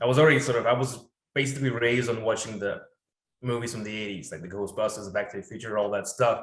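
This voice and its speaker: Talking at a very fast pace with a non-native accent, a man sounds somewhat breathy and shows ordinary pitch variation. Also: medium pitch for a man. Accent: foreign. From Poland (Warsaw), born in Russia. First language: Russian or Polish. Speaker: location hunter and 3D designer. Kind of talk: casual podcast chat.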